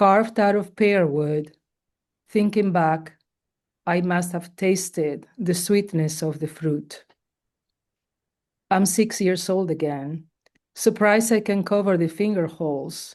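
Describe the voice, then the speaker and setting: Speaking very slowly with long, frequent pauses, a woman with a Spanish accent uses a medium pitch and ordinary pitch variation against a quiet background. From Spain. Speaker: poet. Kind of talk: poetry reading. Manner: halting.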